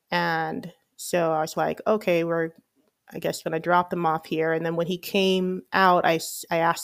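Captured in a very clean recording with a silent background, a woman with a normal speaking voice talks at a fairly slow pace, her fairly low pitch following a fairly even intonation. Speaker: podcast host. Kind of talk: casual monologue.

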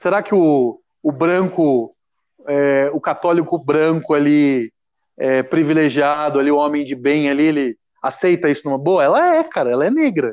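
A man with a normal speaking voice talks at a moderate pace in a fairly high pitch, with ordinary pitch variation, very even loudness and a quiet background. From Brazil, Caçapava (São Paulo state). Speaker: humor writer and performer. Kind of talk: casual chat.

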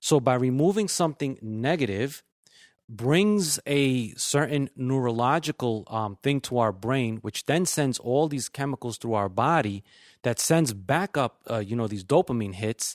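At a fairly slow pace, a man in a plain, everyday voice speaks at a medium pitch with lively intonation, in a very clean recording with a silent background. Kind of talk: casual chat. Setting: studio with live audience.

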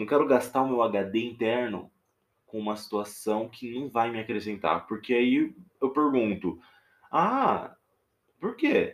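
Very slowly and with long, frequent pauses, a man with a Minas Gerais accent speaks at a medium pitch with ordinary pitch variation, in a very clean recording with a silent background. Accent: mineiro (Minas Gerais). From Minas Gerais interior, Brazil. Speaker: podcaster. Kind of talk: casual monologue. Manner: hesitant, with fillers.

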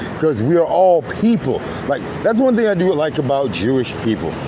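Noticeable background noise beneath lively intonation. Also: man. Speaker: video host and Marine veteran. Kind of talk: angry rant. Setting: outdoors near highway, recorded video. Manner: loud, profane, mocking, sarcastic; fiery, emphatic.

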